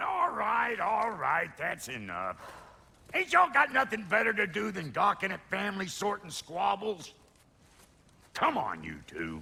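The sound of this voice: In a put-on character voice, a man speaks high in pitch with a bright, sharp tone and vocal fry. His pitch swings very widely, broken by long, frequent pauses. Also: fairly slow pace.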